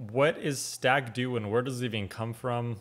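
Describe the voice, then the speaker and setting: This man speaks with an American accent. His pace is moderate. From United States. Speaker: reaction video host. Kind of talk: casual reaction commentary. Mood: curious, amused. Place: home room.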